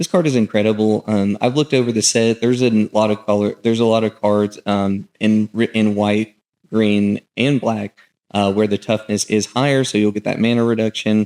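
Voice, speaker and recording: On a very clean recording with a silent background and a dry, close sound with no echo, a man with an American accent speaks at a moderate pace in a fairly low pitch, his dark, mellow tone holding very even loudness and fairly even intonation. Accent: southern US accent, comes out at times. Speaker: gaming content creator. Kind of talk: card set review. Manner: casual, many filler words.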